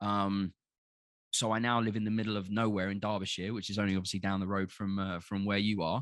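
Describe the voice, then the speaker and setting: A man with a Cockney accent, fairly low in pitch, at a very fast pace. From London. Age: 30s. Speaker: podcast guest. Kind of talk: casual chat. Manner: animated.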